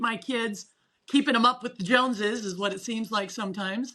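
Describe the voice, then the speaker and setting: Her voice bright and sharp, a woman with a fairly high pitch speaks with ordinary pitch variation. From US West. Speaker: mental performance coach. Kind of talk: casual interview chat. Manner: halting, words twist; passionate.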